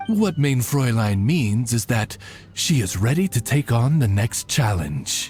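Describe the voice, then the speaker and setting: A put-on character voice moves at a fairly slow pace over clear music in the background. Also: man, medium pitch for a man. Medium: video game. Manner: formal, courteous, butler-like.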